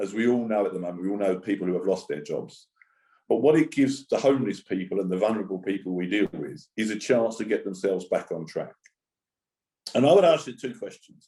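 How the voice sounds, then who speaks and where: A man's fairly low, dark, mellow voice in a Cockney accent, with lively intonation at a very fast pace. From East End of London. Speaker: charity speaker on homelessness and employment. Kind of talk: conference talk.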